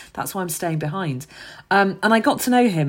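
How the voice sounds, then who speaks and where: This is a woman with a London accent. She talks at a fairly quick pace. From London, Hackney. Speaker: charity founder and former teacher. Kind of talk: podcast interview.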